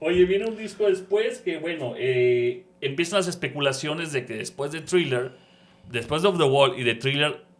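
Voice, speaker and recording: Here a man with a normal speaking voice talks at a fairly high pitch with lively intonation. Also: moderate pace. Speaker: radio announcer. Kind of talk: podcast interview host.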